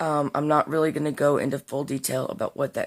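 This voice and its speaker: A woman speaks at a very deep, low pitch in a very clean recording with a silent background. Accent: Southern US. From US Deep South. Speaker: vlogger. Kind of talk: casual vlog monologue. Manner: unscripted, with fillers.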